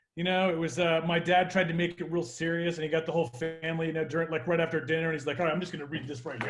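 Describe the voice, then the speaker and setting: With music in the background, a man at fairly high pitch talks at a very fast pace with hardly any pauses. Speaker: entrepreneur, comedy club owner. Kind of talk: casual chat. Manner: animated.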